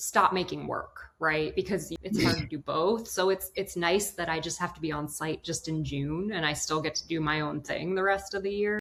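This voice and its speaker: With an American accent, a woman has an ordinary speaking voice, fairly low in pitch, at a moderate pace with fairly even intonation. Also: hardly any pauses. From Washington DC area, US. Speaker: ceramic artist and workshop program administrator. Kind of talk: casual interview chat.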